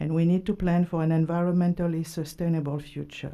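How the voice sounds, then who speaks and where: In a non-native accent, a woman speaks with a dark, mellow tone. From immigrant to the US. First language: not English. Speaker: council seat candidate, civic association president. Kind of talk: prepared opening statement at public interview. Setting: city hall public panel.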